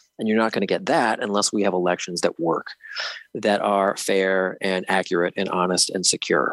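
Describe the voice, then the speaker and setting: A man with an ordinary speaking voice talks at a moderate pace in a fairly low pitch, with fairly even intonation, very even loudness, and a dry, close sound with no echo. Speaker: state elections official. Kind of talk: interview.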